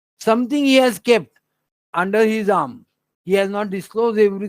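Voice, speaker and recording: On a very clean recording with a silent background, a man speaks in a high voice. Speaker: astrology teacher. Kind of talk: lecture. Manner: slow.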